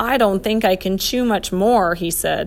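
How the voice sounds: A natural reading voice carries pitch that shifts in an ordinary way.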